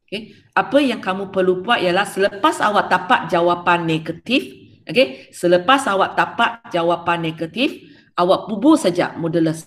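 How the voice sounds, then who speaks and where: A woman speaks with lively intonation. She keeps a moderate pace. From Malaysia. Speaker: secondary school maths teacher. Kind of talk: online class lecture. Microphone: webcam.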